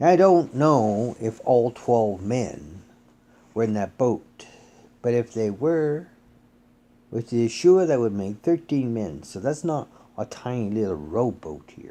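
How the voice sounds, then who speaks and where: At a very slow pace, a man speaks at a medium pitch in a dark, mellow tone. His pitch swings very widely, and his loudness shifts a lot. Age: 60s. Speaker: bible teacher. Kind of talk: sermon. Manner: casual.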